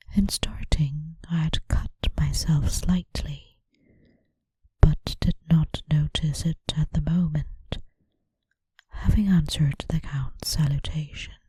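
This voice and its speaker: A woman's soft-spoken, somewhat breathy voice, very deep and low, in a monotone, flat delivery at a very slow pace with long, frequent pauses. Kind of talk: audiobook reading.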